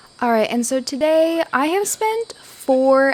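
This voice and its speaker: Noticeable background noise sits behind a woman who speaks at a very slow pace with very wide pitch swings. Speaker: gaming video creator. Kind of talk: gameplay tutorial. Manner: casual with many fillers.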